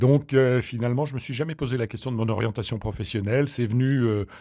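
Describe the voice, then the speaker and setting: Very fast speech from a man of medium pitch, dark and mellow in tone, with ordinary pitch variation, on a very clean recording with a silent background. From Normandy, Caen (Calvados). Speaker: doctor and regional politician. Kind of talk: interview.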